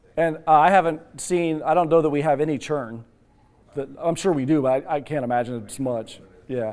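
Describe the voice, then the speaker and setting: Pausing long and often, a man speaks at a fairly high pitch with ordinary pitch variation. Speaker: telecom sales representative. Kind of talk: sales pitch. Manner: fast.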